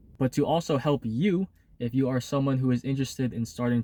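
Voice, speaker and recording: A man's dark, mellow voice at medium pitch, fairly quick in pace, with a dry, close sound and no echo. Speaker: vlogger. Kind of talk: casual vlog. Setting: in a car. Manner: halting.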